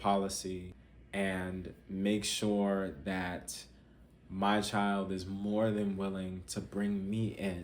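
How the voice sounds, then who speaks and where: Audible room echo surrounds a man with a fairly low pitch. He speaks at a very slow pace. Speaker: parenting coach. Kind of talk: talking-head advice video.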